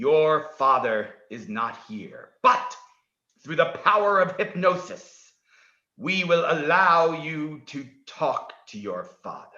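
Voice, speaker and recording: A man puts on a character voice, high-pitched and very slow. There is a slight echo. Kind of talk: hypnotic guided meditation. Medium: stage play. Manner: formal, measured, no contractions.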